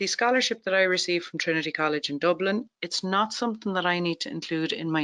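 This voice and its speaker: Very fast speech in an Irish accent over a quiet background. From Ireland. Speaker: tax webinar presenter. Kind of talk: webinar presentation.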